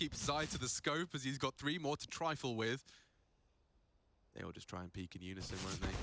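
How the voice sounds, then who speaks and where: Over music in the background, a man talks very fast with lively intonation. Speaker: esports caster. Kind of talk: live commentary. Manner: animated.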